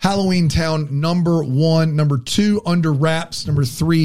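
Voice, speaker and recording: At a moderate pace, a man with a fairly high pitch and ordinary pitch variation speaks in an ordinary speaking voice. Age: 40s. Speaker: podcast co-host. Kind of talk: casual chat.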